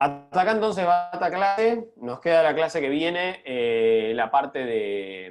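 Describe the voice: Speaking slowly, a man with a fairly high pitch and a clear, smooth tone uses lively intonation.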